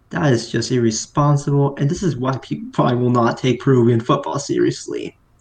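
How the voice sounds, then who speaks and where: With an American accent, a man speaks in a fairly high, somewhat breathy voice. His pace is moderate and his pitch variation ordinary. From US, New Jersey. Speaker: football fan guest. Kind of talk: casual chat.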